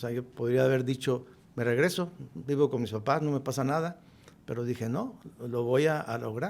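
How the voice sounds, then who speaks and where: This is a man with an unremarkable speaking voice, medium pitch, ordinary pitch variation, and a moderate pace. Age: 60s. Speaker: businessman. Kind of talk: podcast interview.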